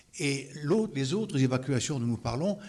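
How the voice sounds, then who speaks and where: A man talks at a fairly slow pace with a fairly high pitch. His voice is somewhat breathy and his intonation lively. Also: very clean recording, silent background. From Lorraine, France (Moselle). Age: 80s+. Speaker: evacuation witness. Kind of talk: interview testimony.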